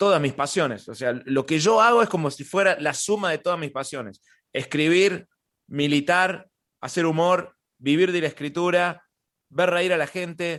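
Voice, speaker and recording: Against a quiet background, a man with a Córdoba Argentine accent speaks at a moderate pace, his voice high with ordinary pitch variation. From Argentina, Córdoba. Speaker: stand-up comedian. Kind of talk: interview. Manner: halting, many repetitions.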